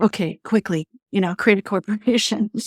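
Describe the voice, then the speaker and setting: A woman's plain, everyday voice at a medium pitch, moderate pace and fairly even intonation, in a dry, close sound with no echo and a very clean recording with a silent background. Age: 60s. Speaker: leadership coach and entrepreneur. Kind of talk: interview. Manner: casual, with many fillers.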